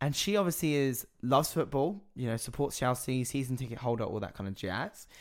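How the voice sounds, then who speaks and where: Recorded very cleanly against a silent background, a man in an ordinary speaking voice talks at a moderate pace and medium pitch with lively intonation. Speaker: drag queen podcaster. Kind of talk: casual chat.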